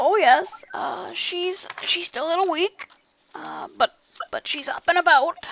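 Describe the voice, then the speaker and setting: Fairly slow pace and extremely high pitch in a put-on character voice. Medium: actual play.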